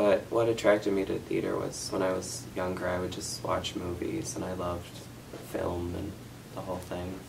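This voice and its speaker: With an American accent, a man speaks in a very deep, low pitch at a moderate pace, his intonation fairly even. Noticeable background noise and audible room echo surround him. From US Midwest. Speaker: student actor. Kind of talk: interview.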